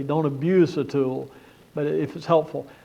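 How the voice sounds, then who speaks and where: The voice belongs to a man. The room around him gives an audible echo. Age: 60s. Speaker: conference speaker on church leadership. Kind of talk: conference talk.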